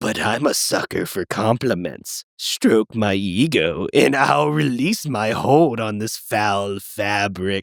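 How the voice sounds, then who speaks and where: Using a put-on character voice, a man speaks at a fairly low pitch. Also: fairly slow pace. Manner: vain, flattery-hungry, defiant.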